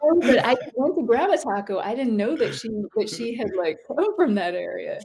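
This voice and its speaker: There is noticeable background noise behind a woman speaking at a moderate pace. Her voice is high-pitched and swings very widely in pitch. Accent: slight Oakland. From US East Coast childhood, then Oakland, California. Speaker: author and professor. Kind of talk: casual interview chat.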